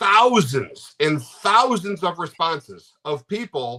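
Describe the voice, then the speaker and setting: In a loud, bright, sharp voice with an American accent, a high-pitched man sounds animated, his intonation lively, with a dry, close sound and no echo. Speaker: interview guest, American fan of Spain. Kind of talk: casual interview.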